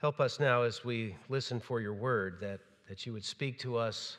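This is a man's voice. It carries ordinary pitch variation. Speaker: minister. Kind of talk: prayer then sermon introduction. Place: church.

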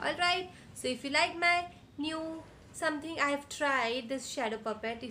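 Over light background noise, a woman uses a raised, projected voice with lively intonation at a moderate pace. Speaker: children's storyteller. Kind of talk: storytelling to children. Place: home room. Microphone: earbuds.

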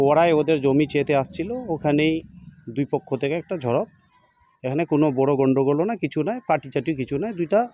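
A man with a fairly high pitch and a dark, mellow tone speaks with ordinary pitch variation, the sound dry and close with no echo. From West Bengal, Uttar Dinajpur. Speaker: local resident. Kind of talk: news interview statement.

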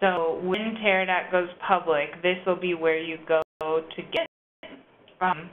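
There is light background noise behind a woman with a fairly low voice. She speaks at a fairly slow pace with monotone, flat intonation. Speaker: data manager presenting a training webinar; webinar presenter. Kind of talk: webinar tutorial. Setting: online web conference. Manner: casual, many filler words. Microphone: video call.

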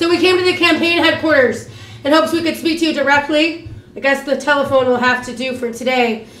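A woman speaks at a fairly quick pace with a high pitch and a fairly bright tone. Room echo is audible. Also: ordinary pitch variation.

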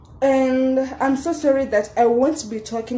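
Very slow speech rings with audible room echo. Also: woman. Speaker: vlogger. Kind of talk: casual vlog chat. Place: home room. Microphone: phone near.

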